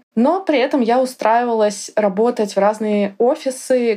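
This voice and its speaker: The speaker is a woman with a fairly high pitch. Her voice has a dark, mellow tone. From Russia, Yaroslavl. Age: 30s. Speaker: tutor. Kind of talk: interview. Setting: studio.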